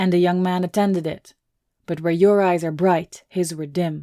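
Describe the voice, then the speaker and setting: In a put-on character voice at a middle pitch, the speaker goes at a moderate pace with monotone, flat intonation. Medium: read story. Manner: menacing.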